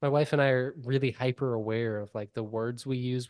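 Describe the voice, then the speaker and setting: The voice has ordinary pitch variation, recorded with a dry, close sound, no echo and a quiet background. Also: man. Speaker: podcast host. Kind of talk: casual chat. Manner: fast.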